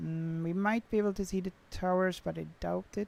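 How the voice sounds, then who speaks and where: Speaking at a fairly slow pace, a woman talks with a Swedish accent. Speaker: flight sim streamer. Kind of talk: live stream chat. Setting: livestream.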